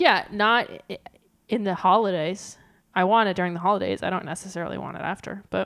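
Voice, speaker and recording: Vocal fry runs through a woman's speech, her intonation fairly even. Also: medium pitch for a woman, fairly quick pace. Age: 20s. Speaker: podcast co-host. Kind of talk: casual chat.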